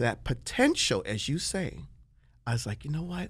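The speaker is a man with an American accent. He talks at a moderate speed. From Washington, D.C. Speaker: celebrity chef. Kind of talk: casual chat. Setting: studio. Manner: animated.

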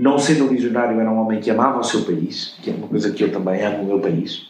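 There is audible room echo as a man speaks at medium pitch with ordinary pitch variation. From Portugal, Covilhã. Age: 60s. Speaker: retired advertising executive. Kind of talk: interview conversation.

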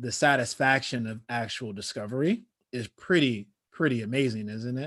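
An unremarkable speaking voice from a man with an American accent, medium in pitch, fairly even in intonation and moderate in pace, on a very clean recording with a silent background. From Chicago. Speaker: podcast host. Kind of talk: interview conversation.

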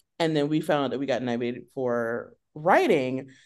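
The pace is fairly quick. The background is quiet. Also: woman. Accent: American. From US South, South Carolina, childhood partly in Europe. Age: 40s. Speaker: comedy writer and improviser. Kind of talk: casual interview. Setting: video call.

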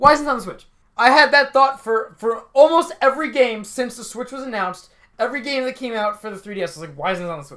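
In a raised, projected voice with a bright, sharp tone, the speaker races at a very fast pace with lively intonation. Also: man, extremely high pitch for a man. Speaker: podcast co-host, college student. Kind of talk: casual chat.

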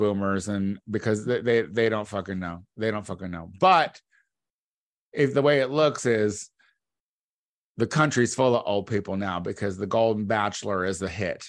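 Against a quiet background, a man speaks in an animated tone at a medium pitch. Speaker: podcast co-host. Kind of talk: casual comedic chat. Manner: animated, profane.

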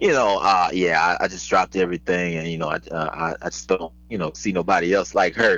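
A man speaks at a fairly quick pace in a very deep, low voice with vocal fry, a bright, sharp tone, ordinary pitch variation and hardly any pauses. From Petersburg, Virginia (born in Houston). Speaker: comedian and radio host. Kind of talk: casual chat. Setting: phone call.

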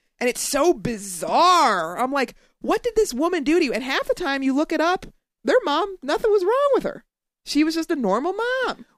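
Delivered at a moderate pace in an American accent, the speech has very wide pitch swings and a dry, close sound with no echo. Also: woman, extremely high pitch for a woman. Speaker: podcast co-host. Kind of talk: casual chat. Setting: studio.

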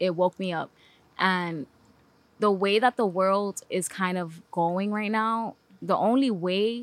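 The recording is very clean with a silent background and a dry, close sound with no echo, as a woman with a New York accent speaks at a fairly slow pace. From Bronx, New York. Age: 30s. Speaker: filmmaker. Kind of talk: casual podcast interview.

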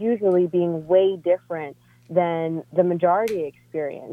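A woman's fairly low-pitched voice at a moderate pace, a plain, everyday voice. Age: 30s. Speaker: caller. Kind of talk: casual chat.

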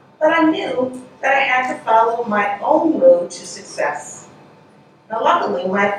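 Over noticeable background noise, a woman talks in a fairly high pitch with very wide pitch swings. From Delaware, US. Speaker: museum executive, keynote speaker. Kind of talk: keynote speech. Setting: stage with audience. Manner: formal.

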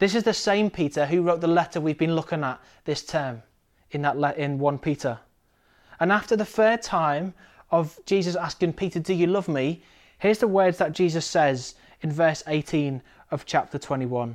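High-pitched and with a British accent, a man talks at a moderate pace with ordinary pitch variation against a quiet background. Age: 20s. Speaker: preacher. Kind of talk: sermon.

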